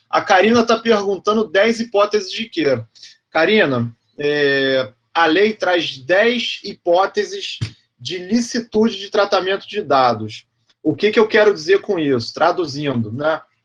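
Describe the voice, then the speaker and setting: Lively in intonation, a man with a high-pitched voice speaks at a fairly slow pace. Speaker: law professor. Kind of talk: lecture. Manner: animated.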